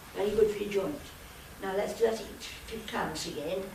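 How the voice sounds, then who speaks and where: Noticeable background noise sits behind a voice with ordinary pitch variation and a fairly slow pace. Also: woman. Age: 80s+. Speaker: keep fit instructor. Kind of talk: exercise class instruction.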